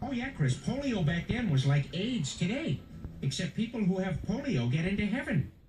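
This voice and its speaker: A man performs a cartoonish character voice at a high pitch. He goes at a moderate pace. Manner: offhand, crude.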